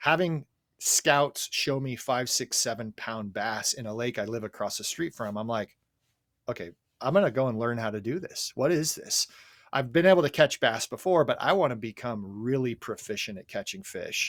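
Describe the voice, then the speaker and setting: Lively intonation and big swings in loudness mark a medium-pitched man talking at a moderate pace, captured in a dry, close sound with no echo and a very clean recording with a silent background. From Southern California. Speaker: fishing podcast guest, former event announcer. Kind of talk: casual chat.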